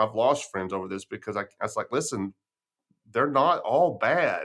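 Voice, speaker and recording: A man with a West Texas accent talks at a moderate pace, his pitch swinging very widely. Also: very clean recording, silent background. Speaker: podcast host. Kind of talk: casual interview chat.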